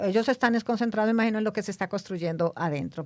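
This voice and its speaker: A woman talks with a fairly high pitch and ordinary pitch variation. The recording is very clean, and the background is silent. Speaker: podcast co-host. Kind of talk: casual chat.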